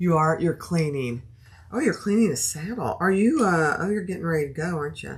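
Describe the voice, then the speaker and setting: A woman speaks in a soothing tone at a fairly low pitch. Her intonation is lively and her pace fairly quick. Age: 60s. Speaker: sewing and bag-making livestreamer. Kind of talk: live sewing tutorial chatting with viewers. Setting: livestream. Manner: casual and chatty.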